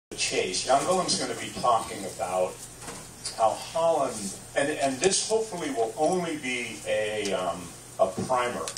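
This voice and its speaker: Very wide pitch swings over light background noise, with audible room echo. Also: man, medium pitch for a man, fairly slow pace. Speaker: radio host. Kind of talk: live event introduction. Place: shop.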